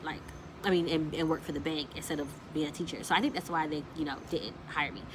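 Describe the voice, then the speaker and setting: A woman with a very deep, low voice speaks very fast with fairly even intonation, amid noticeable background noise and audible room echo. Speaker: lifestyle vlogger. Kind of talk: casual storytelling vlog.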